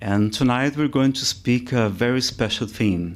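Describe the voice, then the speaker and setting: Ordinary pitch variation colors this voice with a Brazilian accent. The recording is very clean, with a silent background. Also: man. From Brazil, Ceará. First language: Portuguese. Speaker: spiritist lecturer. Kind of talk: lecture. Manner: halting.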